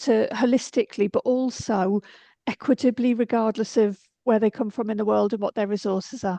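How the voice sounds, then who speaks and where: Dark and mellow in tone, a woman speaks at a moderate pace with fairly even intonation, the sound dry and close with no echo. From UK. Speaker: school principal / moderator. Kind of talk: panel moderation.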